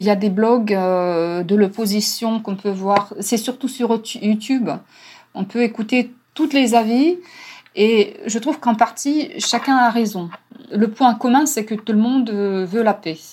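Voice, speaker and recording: A woman speaks at a very slow pace in a fairly high pitch. Her voice is somewhat breathy, with a Russian accent. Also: ordinary pitch variation. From Ukraine. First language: Russian (speaking French). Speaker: interpreter and language teacher. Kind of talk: interview. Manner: hesitant.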